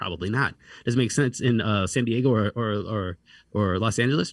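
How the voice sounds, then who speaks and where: A man with an unremarkable speaking voice at a fairly quick pace, ordinary pitch variation, a dry, close sound with no echo, and a very clean recording with a silent background. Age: 40s. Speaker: congressional candidate. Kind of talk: interview.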